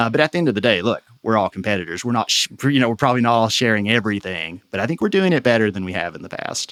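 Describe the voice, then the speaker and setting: A man with an American accent talks at a very fast pace with hardly any pauses. His pitch is medium, and his intonation is lively. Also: dry, close sound with no echo. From Eastern Kentucky. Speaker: economic development association president. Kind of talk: interview conversation. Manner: halting, with repetitions and fillers.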